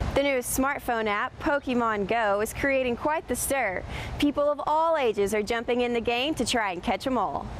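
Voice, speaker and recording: Noticeable background noise sits behind a woman's voice. Her pitch is high, with ordinary pitch variation. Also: moderate pace. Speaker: television news reporter. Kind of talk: TV news report.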